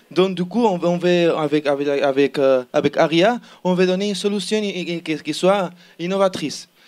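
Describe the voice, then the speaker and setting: Very clean and set against a silent background, the recording has a man speaking high-pitched at a moderate pace with ordinary pitch variation. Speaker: student team member presenting an innovation project. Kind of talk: project pitch presentation. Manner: halting, many repetitions and fillers.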